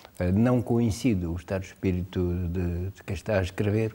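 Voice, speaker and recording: A man speaks at a fairly quick pace with a very deep, low pitch and a dark, mellow, somewhat breathy tone. His intonation stays fairly even, and the very clean recording has a silent background. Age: 70s. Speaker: writer. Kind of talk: interview. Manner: hesitant, many filler sounds.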